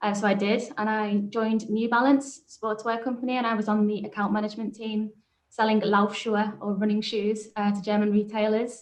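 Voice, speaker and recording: A woman speaks with a Liverpool accent. Her fairly high voice has monotone, flat intonation. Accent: Liverpool (Scouse). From Liverpool, England. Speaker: business manager and startup founder. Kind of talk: panel discussion.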